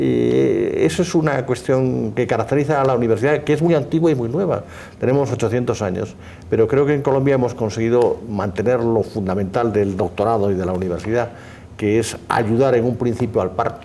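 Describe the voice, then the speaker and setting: With vocal fry and a dark, mellow tone, a man of medium pitch speaks at a fairly quick pace with ordinary pitch variation. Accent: Spanish. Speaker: law professor. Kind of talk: formal conversation. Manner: formal.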